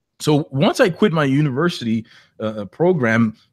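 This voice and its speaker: Heard in a dry, close sound with no echo, a man with a slight non-native accent speaks with lively intonation. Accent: slight foreign. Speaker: online entrepreneur, webinar host. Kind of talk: webinar presentation. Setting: live online webinar.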